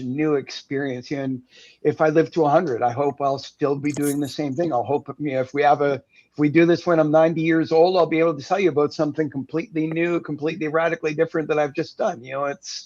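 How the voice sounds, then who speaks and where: Someone with a Canadian accent speaks with fairly even intonation against a quiet background. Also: man. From Canada. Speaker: entrepreneur and former teacher. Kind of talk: interview conversation. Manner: talkative.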